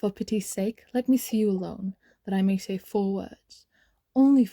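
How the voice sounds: Here is a natural reading voice. Its pitch varies in an ordinary way against a quiet background.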